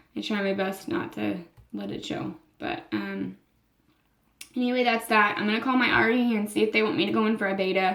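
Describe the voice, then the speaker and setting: A woman with an American accent speaks at a fairly quick pace in a medium-pitched voice, with ordinary pitch variation and long, frequent pauses. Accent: southern US, usually hidden, slips out. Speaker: vlogger. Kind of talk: personal vlog. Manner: halting, many fillers.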